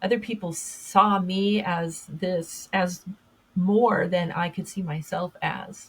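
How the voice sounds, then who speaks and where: A woman talks at a very slow pace. Her medium-pitched voice keeps a fairly even intonation. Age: 60s. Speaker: podcast host and public speaker. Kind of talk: interview conversation. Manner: halting, many fillers and restarts.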